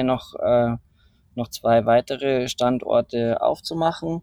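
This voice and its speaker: In a dry, close sound with no echo, a man with a fairly high pitch speaks at a very slow pace. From Bavaria, Rosenheim area. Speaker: entrepreneur and climber. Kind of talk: casual interview. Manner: hesitant, many fillers.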